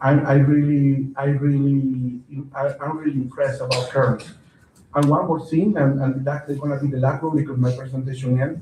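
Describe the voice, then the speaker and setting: A man talks at a moderate pace with a Spanish accent, his pitch fairly high and his intonation monotone and flat. His tone is dark and mellow, somewhat breathy, with audible room echo. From Venezuela. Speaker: county council member. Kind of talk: council meeting report. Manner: halting, many fillers and repeats.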